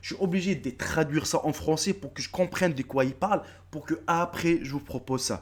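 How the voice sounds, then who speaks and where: Animated in tone, a man talks at a moderate pace with a fairly high pitch and ordinary pitch variation. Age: 30s. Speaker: YouTuber. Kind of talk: casual vlog address to subscribers. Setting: face-camera video.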